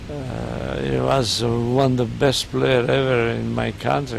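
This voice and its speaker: A man's very deep, low voice with very wide pitch swings and a Serbian accent, against noticeable background noise. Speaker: football coach. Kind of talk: interview. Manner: halting.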